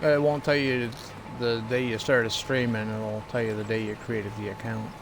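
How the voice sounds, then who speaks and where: Fairly even intonation at a moderate speed, noticeable background noise, and audible echo from the room. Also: man, medium pitch for a man. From Atlantic Canada (New Brunswick). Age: 40s. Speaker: gaming streamer. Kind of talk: casual chat. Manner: casual, halting with fillers.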